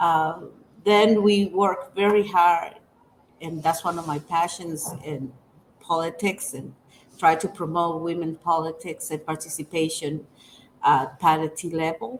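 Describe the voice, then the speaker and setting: This woman's voice sits fairly low, with ordinary pitch variation. She speaks at a fairly slow pace, her loudness swinging widely. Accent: Dominican. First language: Spanish. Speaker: women's rights organization director. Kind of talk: interview. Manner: halting.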